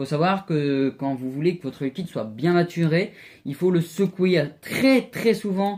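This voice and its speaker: On a very clean recording with a silent background, the speaker goes at a fairly slow pace. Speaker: vaping tutorial youtuber. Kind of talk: home DIY tutorial. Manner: hesitant, many fillers.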